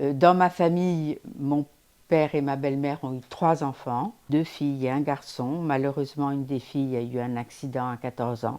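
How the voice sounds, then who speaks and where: A woman's very deep, low voice with a dark, mellow tone and fairly even intonation, at a moderate pace on a very clean recording with a silent background. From Paris, France. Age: 80s+. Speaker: elderly woman giving testimony. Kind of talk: personal testimony.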